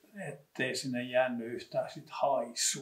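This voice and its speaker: Here a man speaks with a medium pitch. His pace is very slow. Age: old. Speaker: local history expert. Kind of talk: casual reminiscing conversation.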